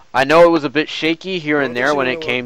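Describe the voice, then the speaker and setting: A man speaks with ordinary pitch variation while noticeable background noise carries on behind him. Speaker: gaming streamer. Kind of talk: game tutorial stream. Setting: live stream. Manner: casual, filler-heavy.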